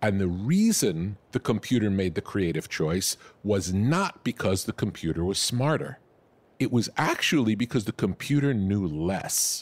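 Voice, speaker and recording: Lively in intonation, a man with a fairly low pitch is heard on a very clean recording that sounds dry and close, with a silent background and no echo. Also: fairly slow pace, very even loudness. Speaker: music producer. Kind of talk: interview answer. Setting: studio with open doors, ocean waves.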